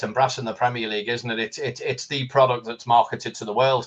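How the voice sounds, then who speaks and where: A man with a Liverpool accent talks very fast in a somewhat breathy, medium-pitched voice. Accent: Liverpool (Scouse). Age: 60s. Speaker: football fan guest. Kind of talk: casual chat. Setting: live stream.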